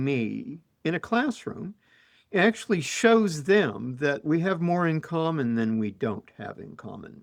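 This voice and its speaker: A man speaks at a fairly high pitch and a fairly slow pace. His pitch swings very widely, and his loudness swings a lot too. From Utah. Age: old. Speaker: professor. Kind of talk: casual chat. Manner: halting.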